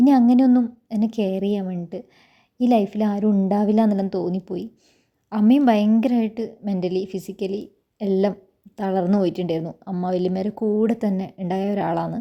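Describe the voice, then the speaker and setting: On a very clean recording with a silent background, a woman speaks with a dark, mellow tone. Her medium pitch holds fairly even intonation. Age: 30s. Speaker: vlogger. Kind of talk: personal vlog monologue.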